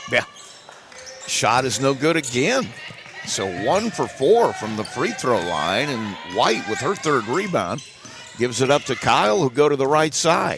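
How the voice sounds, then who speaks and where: Against noticeable background noise, the speaker's pitch swings very widely, broken by long, frequent pauses. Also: man, fairly high pitch for a man, fairly slow pace. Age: 60s. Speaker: play-by-play sports announcer. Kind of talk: live commentary.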